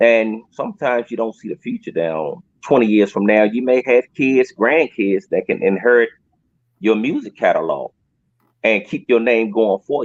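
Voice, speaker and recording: A man with an American accent talks at a moderate pace and medium pitch, with ordinary pitch variation and an unremarkable speaking voice. The sound is dry and close, with no echo. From Washington DC. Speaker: rapper and R&B artist. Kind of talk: interview.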